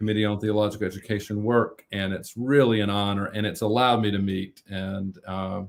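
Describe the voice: Male voice with a North Carolina accent, fairly low in pitch, at a fairly quick pace with fairly even intonation. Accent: American South, North Carolina.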